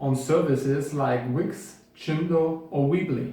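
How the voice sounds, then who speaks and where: A man's fairly high voice in a German accent, with ordinary pitch variation and audible room echo. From Bavaria, Germany. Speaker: web developer and course instructor; course instructor. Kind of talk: tutorial.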